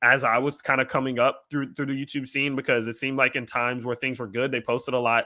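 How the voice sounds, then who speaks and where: A man talks very fast at a medium pitch with a bright, sharp tone. The recording is very clean, with a silent background. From Louisiana, Lafayette area. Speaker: crypto YouTuber and amateur MMA fighter. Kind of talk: casual outro address to viewers; live stream Q&A. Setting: live stream. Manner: casual, filler-heavy.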